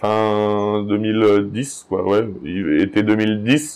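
A man's fairly low voice at a very slow pace. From Haute-Savoie, France (Genevois border area). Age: 30s. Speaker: dairy farmer. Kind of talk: casual interview. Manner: hesitant, many fillers.

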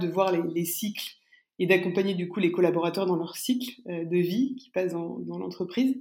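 A woman at medium pitch, an ordinary speaking voice, and a moderate pace. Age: young. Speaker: startup recruitment firm executive. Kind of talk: interview.

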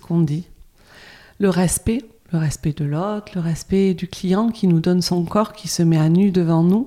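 A woman's dark, mellow voice, fairly low in pitch, with ordinary pitch variation at a fairly slow pace. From France, Bordeaux. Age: 50s. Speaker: cosmetics brand founder. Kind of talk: interview. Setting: spa.

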